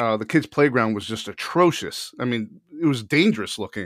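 A man's plain, everyday voice at medium pitch, moderate pace and ordinary pitch variation, dry and close with no echo, on a very clean recording with a silent background. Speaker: podcast co-host and former DJ. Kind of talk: casual chat.

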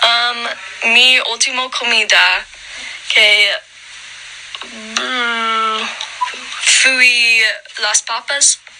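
Very slow, monotone delivery with flat intonation, long and frequent pauses, and noticeable background noise. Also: woman, fairly high pitch for a woman. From Colorado mountains, US. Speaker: Spanish student. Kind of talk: language practice conversation. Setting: video call. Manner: halting, hesitant beginner speech.

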